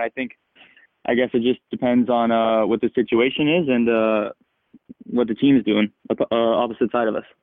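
Speaking at a fairly quick pace, a man with an American accent has a normal speaking voice, medium pitch and fairly even intonation. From Seattle area, US Pacific Northwest. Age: young. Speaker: professional soccer player. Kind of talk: interview.

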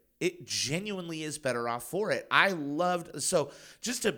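Lively intonation and a bright, sharp tone come through on a very clean recording with a silent background. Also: man. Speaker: podcast host. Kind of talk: casual chat.

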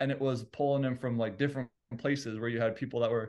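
Over a quiet background, a man speaks at medium pitch with fairly even intonation. He has an unremarkable speaking voice. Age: 30s. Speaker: dog trainer and gym co-owner, former rapper. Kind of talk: casual chat.

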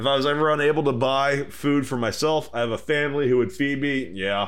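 In an American accent, a man talks at a fairly quick pace with a fairly high pitch and an animated tone. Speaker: podcast host. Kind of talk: casual comedic banter. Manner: animated, joking.

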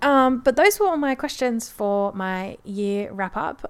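A woman speaks with an Australian accent. Her pitch shows ordinary variation. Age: 20s. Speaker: podcaster. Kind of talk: casual chat. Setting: home, on a couch.

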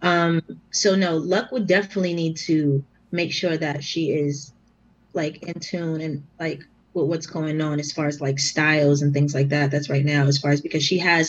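A woman with an American accent speaks at a moderate pace in a very deep, low pitch. Her voice is somewhat breathy, and her intonation stays fairly even. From Boston, Massachusetts. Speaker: battle rapper. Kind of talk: casual chat.

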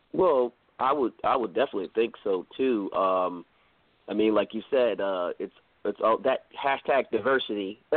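Speaking with an American accent, a man uses a medium pitch, ordinary pitch variation, and a moderate pace. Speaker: podcast co-host. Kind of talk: casual chat.

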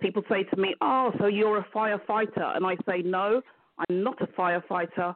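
With a British accent, a woman speaks at medium pitch and a moderate pace, her intonation fairly even. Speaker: business mentor. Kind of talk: interview.

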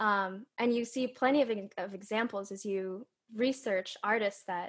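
In a normal speaking voice, a woman with an American accent talks at a moderate pace with fairly even intonation against a quiet background. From California. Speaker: opera singer. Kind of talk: casual chat.

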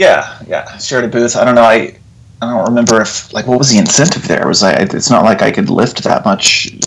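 A man with an American accent, medium pitch and lively intonation, talking at a fairly quick pace amid noticeable background noise. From Texas (Abilene, Lubbock). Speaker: author and illustrator. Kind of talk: interview conversation.

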